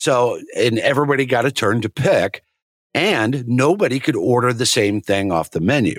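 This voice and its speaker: The man's ordinary speaking voice sits at a medium pitch, with an American accent and lively intonation. The sound is dry and close, without echo. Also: moderate pace, very even loudness, very clean recording, silent background. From rural Nebraska, US. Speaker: Marine veteran, fill-in co-host. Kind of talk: casual chat.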